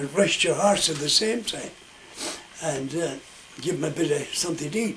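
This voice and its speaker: A man in a west of Ireland accent, moderate pace and lively intonation, with noticeable background noise. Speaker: storyteller. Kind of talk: oral storytelling.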